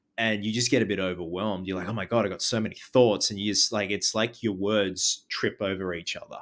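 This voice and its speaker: This man talks at a fairly quick pace in an Australian accent, his fairly low voice staying monotone and flat with hardly any pauses. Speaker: horror film reviewer. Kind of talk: casual chat. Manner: stutters, words trip over each other.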